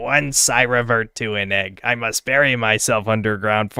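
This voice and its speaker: A man puts on a character voice. It sits at medium pitch and sounds raspy. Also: moderate pace. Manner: dramatic, put-on.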